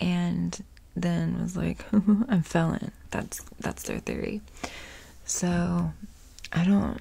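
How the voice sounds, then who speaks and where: At a fairly slow pace, a woman delivers her words in a whisper. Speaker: ASMR creator. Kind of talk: ASMR true crime storytelling and rambling. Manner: casual, chatty. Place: home room. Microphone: earbuds.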